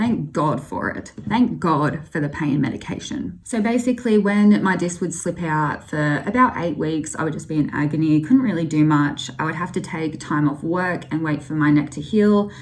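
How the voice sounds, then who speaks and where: A woman with an Australian accent talks at a moderate pace with hardly any pauses, a very deep, low pitch and lively intonation amid noticeable background noise. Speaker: vlogger. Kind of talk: personal testimony vlog. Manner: casual, conversational.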